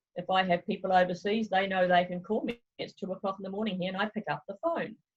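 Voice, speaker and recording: The voice is somewhat breathy, with fairly even intonation and a fairly quick pace. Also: woman, hardly any pauses. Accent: New Zealand. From New Zealand. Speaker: travel consultant. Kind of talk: interview. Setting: video call.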